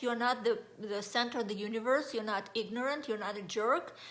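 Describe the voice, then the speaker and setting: Speaking fairly quickly in a Russian accent, a woman uses a fairly high pitch and fairly even intonation. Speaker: life coach. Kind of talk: motivational talk. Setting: Facebook live video.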